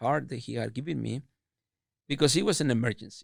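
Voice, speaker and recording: With a strong Mexican accent, a man talks at a fairly quick pace in a medium pitch with vocal fry and ordinary pitch variation, recorded very cleanly over a silent background. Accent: thick Mexican Spanish. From Mexico, Chihuahua. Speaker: food business owner. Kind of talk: interview. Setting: podcast. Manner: halting, repeats words.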